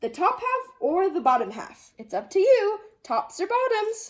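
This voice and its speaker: A woman puts on a character voice, pitched extremely high, her pitch swooping very widely. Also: moderate pace. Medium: read story. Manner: eager, persuasive.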